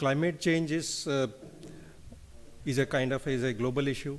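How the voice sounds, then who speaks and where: The speaker talks at a fairly slow pace in an Indian accent, with ordinary pitch variation. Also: man. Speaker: engineering company director. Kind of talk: conference speech.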